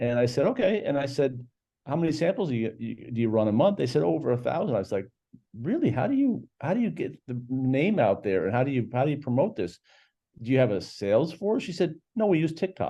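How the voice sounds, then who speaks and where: Over a quiet background, a man talks at a fairly quick pace and a fairly high pitch. His voice shows vocal fry and very wide pitch swings. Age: 60s. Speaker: CEO of a medical testing company. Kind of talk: interview. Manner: halting.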